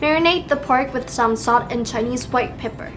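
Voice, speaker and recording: A woman with a Taiwanese accent speaks at a high pitch and a moderate pace with ordinary pitch variation. Music plays in the background. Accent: Taiwanese Mandarin-accented English. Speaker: home cook. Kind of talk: cooking tutorial voiceover. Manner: casual, friendly.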